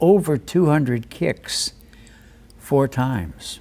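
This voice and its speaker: The delivery is very slow, yet the intonation stays lively. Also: man. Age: 80s+. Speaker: circus acrobat and teacher. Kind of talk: interview. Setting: nightclub venue. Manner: halting.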